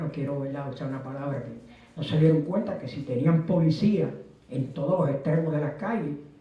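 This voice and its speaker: A man talks with a fairly high pitch. Audible room echo and noticeable background noise run through the clip. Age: 70s. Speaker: retired teacher, history lecturer. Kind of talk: lecture.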